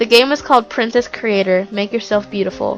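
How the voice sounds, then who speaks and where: Music plays in the background while the speaker talks at a fairly quick pace with fairly even intonation. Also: woman. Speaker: creepypasta narrator. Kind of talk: horror story narration.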